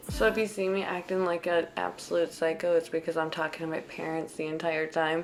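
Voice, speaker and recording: The speech comes at a fairly quick pace with hardly any pauses and monotone, flat intonation, against noticeable background noise. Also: woman, fairly low pitch for a woman. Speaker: lifestyle vlogger. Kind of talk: voiceover narration. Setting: home, recorded right before bed. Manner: casual, chatty.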